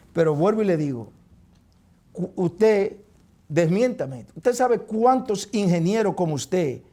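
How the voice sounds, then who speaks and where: A man with a Dominican accent speaks at a high pitch, with a dark, mellow tone and lively intonation. His pace is fairly slow, with long, frequent pauses. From Dominican Republic, Neiba. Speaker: talk show host. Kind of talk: heated debate. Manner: animated.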